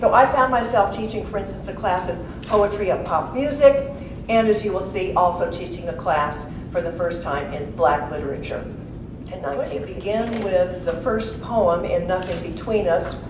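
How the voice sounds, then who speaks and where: Over noticeable background noise, a woman with medium pitch and lively intonation talks at a moderate pace. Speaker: poet and author. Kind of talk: author talk introducing a poetry reading. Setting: live reading at a college event.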